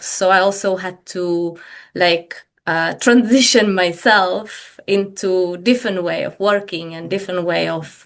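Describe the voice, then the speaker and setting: A woman with a Czech accent speaks at a fairly slow pace. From Czech Republic, Prague. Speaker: business coach. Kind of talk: podcast interview. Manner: hesitant, with many fillers.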